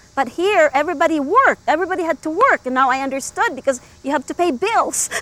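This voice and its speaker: A woman talks at a very fast pace in an extremely high pitch, with lively intonation. The sound is dry and close with no echo, and there is noticeable background noise. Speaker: Filipino immigrant. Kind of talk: documentary interview.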